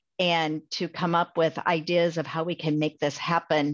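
With a Midwestern American accent, a woman of fairly low pitch speaks at a moderate pace against a quiet background. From Iowa, US Midwest. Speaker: pharmacy school dean. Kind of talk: interview.

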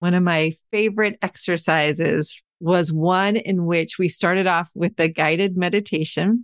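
A normal speaking voice goes at a moderate pace with hardly any pauses, fairly even intonation and very even loudness. The sound is dry and close with no echo against a quiet background. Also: woman, fairly low pitch for a woman. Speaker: podcast host. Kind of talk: casual interview.

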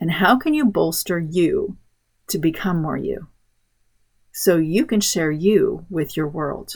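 The somewhat breathy voice moves at a very slow pace with lively intonation and long, frequent pauses. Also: woman. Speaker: podcast host, homeschool mom. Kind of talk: scripted solo podcast monologue.

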